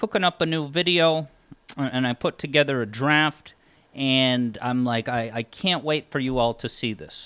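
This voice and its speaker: Moderate pace and ordinary pitch variation in a Massachusetts accent. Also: man. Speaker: music theory YouTuber and game streamer. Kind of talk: casual live stream chat. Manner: animated, with frequent stammered repeats.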